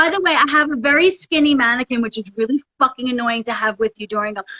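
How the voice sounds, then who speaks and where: Loud and animated, a woman with an American accent talks at a very fast pace in a high pitch. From US, Philadelphia area. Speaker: Broadway actress. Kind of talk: casual chat.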